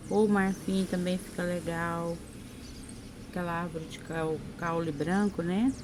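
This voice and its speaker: A soft-spoken woman talks at a fairly slow pace. Her pitch is fairly low and her intonation fairly even. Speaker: craft painting teacher. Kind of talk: tutorial.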